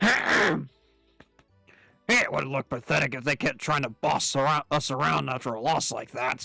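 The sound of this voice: Putting on a raspy character voice at medium pitch, a man talks at a moderate pace with long, frequent pauses while faint music plays in the background.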